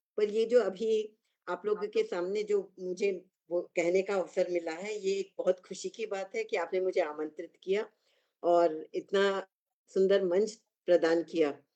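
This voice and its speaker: This woman has a medium-pitched voice with a dark, mellow tone and fairly even intonation. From Nagpur, India. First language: Kannada (speaking Hindi). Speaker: poet. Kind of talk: speech to an online audience.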